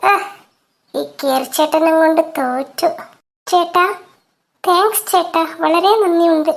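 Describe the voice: Using a squeaky, cartoonish character voice at an extremely high pitch, a woman talks very slowly with ordinary pitch variation.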